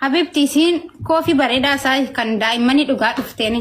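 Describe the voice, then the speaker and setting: A woman with an Ethiopian accent speaks at a fairly quick pace in a high voice. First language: Afaan Oromo. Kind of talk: casual chat.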